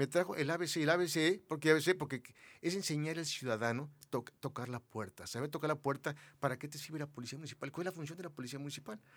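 A man with a fairly high pitch speaks at a very fast pace with ordinary pitch variation. His loudness swings widely. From Mexico City. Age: 60s. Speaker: businessman, former public security committee head. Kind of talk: interview.

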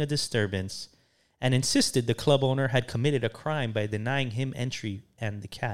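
At a moderate pace, a man with an American accent speaks in an animated tone. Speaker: podcast co-host. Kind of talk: casual banter comedy podcast. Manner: joking, animated, profane.

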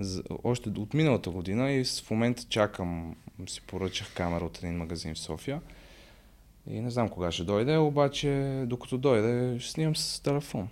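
With lively intonation, the speaker uses a plain, everyday voice. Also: man, medium pitch for a man, moderate pace. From Bulgaria, Sofia. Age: 20s. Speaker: social media content creator and psychology student. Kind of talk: casual podcast interview.

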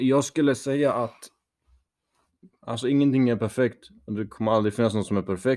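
With long, frequent pauses, a man talks at a moderate pace in a medium pitch that varies in an ordinary way. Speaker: podcast co-host. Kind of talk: casual chat.

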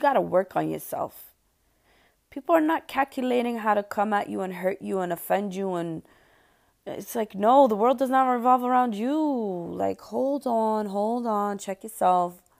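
Heard on a very clean recording with a silent background, a woman uses a normal speaking voice at a fairly high pitch. She keeps a moderate pace and lively intonation. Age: 30s. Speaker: podcast host. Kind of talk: casual monologue.

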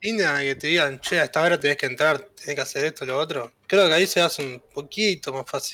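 A man with a Uruguayan accent talks at a fairly quick pace with hardly any pauses, his fairly high voice moving through ordinary pitch variation on a very clean recording with a silent background. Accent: Rioplatense Spanish (Uruguayan). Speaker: podcast co-host. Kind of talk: casual chat.

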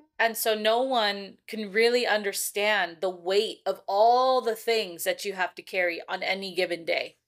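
A woman with an American accent and a normal speaking voice, medium in pitch, fairly even in intonation, fairly slow with hardly any pauses, on a very clean recording with a silent background. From California. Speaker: podcast host and school social worker. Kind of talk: casual chat; reading aloud.

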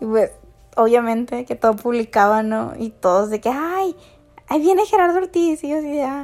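Moderately paced speech from a woman, her pitch swinging very widely. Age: 20s. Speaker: podcast host. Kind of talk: casual monologue.

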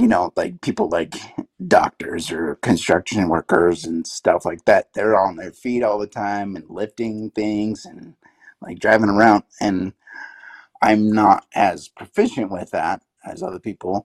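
A man with an American accent speaks at a fairly slow pace in an unremarkable speaking voice, fairly low in pitch. His loudness swings widely, and the sound is dry and close with no echo. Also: fairly even intonation. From Utah, US. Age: 30s. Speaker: graphic artist, son of former football player. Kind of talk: casual interview chat.

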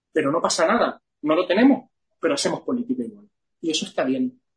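This man's voice is high in pitch. He talks at a moderate pace. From Canary Islands (Gran Canaria). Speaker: entrepreneur and business association president. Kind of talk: interview.

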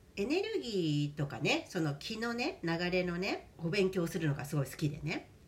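Moderate pace, hardly any pauses, and noticeable background noise. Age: 50s. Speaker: podcast host. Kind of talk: casual chat. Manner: animated.

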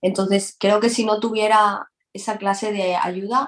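A woman's monotone voice with flat intonation. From Spain, Valencia. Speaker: reggaeton singer. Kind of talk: casual interview.

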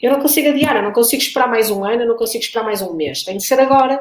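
A woman talks at a very fast pace in a European Portuguese accent. Her pitch is fairly high, with ordinary variation. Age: 30s. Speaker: mother in a same-sex marriage. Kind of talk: panel discussion.

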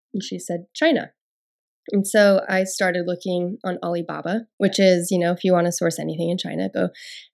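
In a very clean recording with a silent background, a woman with an American accent speaks at a fairly quick pace. Hers is an ordinary speaking voice, fairly low in pitch, with fairly even intonation. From Nevada, US. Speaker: founder of a yoga mat brand. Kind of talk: interview. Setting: studio.

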